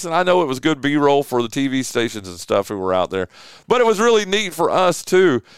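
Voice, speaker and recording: Speaking at a moderate pace with a Southern US accent, a man's fairly high voice comes through on a very clean recording with a silent background. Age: 50s. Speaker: sports talk show host. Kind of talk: casual sports talk.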